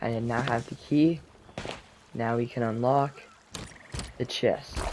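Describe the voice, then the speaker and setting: The speech moves at a very slow pace, with noticeable background noise behind it. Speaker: gaming video creator. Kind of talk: gameplay commentary. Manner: shaky.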